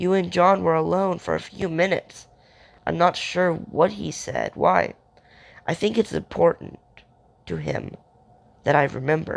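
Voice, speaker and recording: A raspy, put-on character voice from a man, at a moderate pace with long, frequent pauses. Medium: read story.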